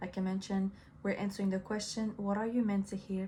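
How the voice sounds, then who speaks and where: A woman with a French accent talks at medium pitch in a somewhat breathy voice. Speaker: tarot reader. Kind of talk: tarot reading monologue. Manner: casual, hesitant with fillers.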